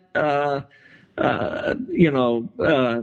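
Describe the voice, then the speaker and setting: A man speaks with a Texan accent at a fairly high pitch. His pace is very slow. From Texas, San Antonio. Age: 70s. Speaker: artist. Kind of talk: interview. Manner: halting, many fillers and repetitions.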